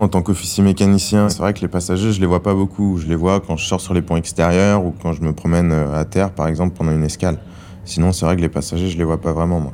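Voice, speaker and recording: Very fast, fairly even-toned speech from a man with a very deep, low pitch. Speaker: ship engineer officer. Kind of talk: testimony. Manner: halting.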